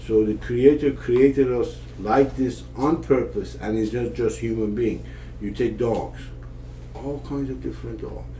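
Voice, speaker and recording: Here a man speaks with an Iranian accent. Noticeable background noise and audible room echo are present. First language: Persian. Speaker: father of the podcast host. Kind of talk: casual conversation. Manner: hesitant, many fillers and restarts.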